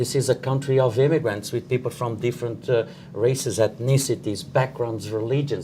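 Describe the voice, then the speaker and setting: A man's medium-pitched, somewhat breathy voice with a dark, mellow tone, fairly even intonation, a fairly quick pace and hardly any pauses. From born at sea in the Atlantic, an immigrant to Canada. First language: French. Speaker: professor and housing researcher. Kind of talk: panel discussion. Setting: live-streamed panel from an office.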